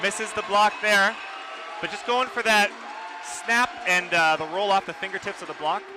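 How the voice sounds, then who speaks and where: A man's high, raised and projected voice over noticeable background noise. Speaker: color commentator. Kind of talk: live sports commentary. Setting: loud gym arena. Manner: shouting.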